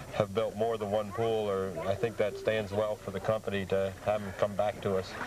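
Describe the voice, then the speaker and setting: A man with a fairly low pitch speaks in a monotone, flat intonation at a moderate pace over noticeable background noise. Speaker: pool company co-owner, sales. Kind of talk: interview answer.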